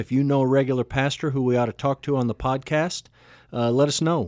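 A man with a Texan accent speaks at a fairly quick pace, medium in pitch, with fairly even intonation. The recording is very clean with a silent background, and the sound is dry and close with no echo. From Texas. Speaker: pastor and podcast host. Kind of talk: casual chat; scripted outro.

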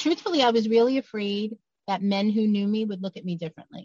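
A somewhat breathy woman in a New York accent, very fast, with ordinary pitch variation. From Brooklyn, New York. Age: 50s. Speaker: author and abuse survivor advocate. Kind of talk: testimony.

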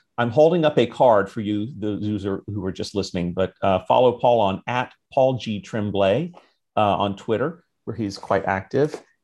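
Over a quiet background, a man with an American accent talks at a moderate pace in an unremarkable speaking voice with a fairly low pitch. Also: ordinary pitch variation. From US. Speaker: podcast host. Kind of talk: casual interview.

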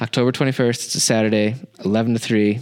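Speaking at a moderate pace and a medium pitch, a man uses an ordinary speaking voice. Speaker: podcast host. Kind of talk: casual interview chat.

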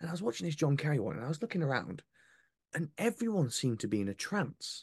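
With a Yorkshire accent, a man talks at a very fast pace, his pitch swinging very widely, in a dry, close sound with no echo. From North Yorkshire, England. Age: 20s. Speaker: comedian and former reporter. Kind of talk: casual chat.

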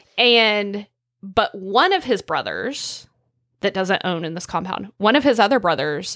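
Someone with a rural Oklahoma accent speaks at a fairly slow pace with lively intonation, in a dry, close recording with no echo that is very clean against a silent background. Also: woman. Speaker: podcast co-host. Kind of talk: casual chat. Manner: casual, frank.

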